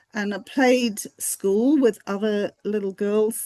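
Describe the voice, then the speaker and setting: A woman talks at a fairly slow pace in an Australian accent, with ordinary pitch variation. The sound is dry and close with no echo, and the background is quiet. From Fiji, then Hong Kong; Australian parents. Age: 60s. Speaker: academic researcher. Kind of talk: interview.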